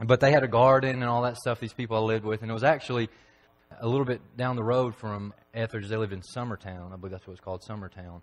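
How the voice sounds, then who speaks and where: Talking at a very fast pace, a man with a Tennessee accent keeps his intonation fairly even while his loudness swings widely. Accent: Southern US (Tennessee). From Tennessee, McMinnville. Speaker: preacher. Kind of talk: sermon. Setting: church. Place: church.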